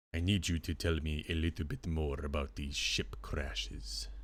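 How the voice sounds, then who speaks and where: A man's very deep, low put-on character voice at a moderate pace. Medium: actual play. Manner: formal, commanding.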